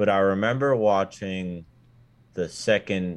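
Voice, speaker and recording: Against a quiet background, a man talks in a normal speaking voice at a fairly low pitch. His pace is fairly slow, with ordinary pitch variation. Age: young. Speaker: sim racer and college student. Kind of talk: casual chat.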